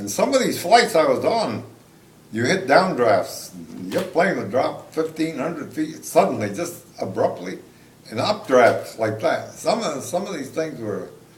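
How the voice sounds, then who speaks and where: Amid audible room echo, a man with a fairly high voice speaks at a fairly slow pace with very wide pitch swings. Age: 80s+. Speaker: war veteran. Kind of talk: interview. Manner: halting.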